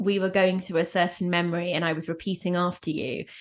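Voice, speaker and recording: An ordinary speaking voice moves at a moderate pace against a quiet background. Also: woman. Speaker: podcast host. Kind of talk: interview conversation, podcast intro.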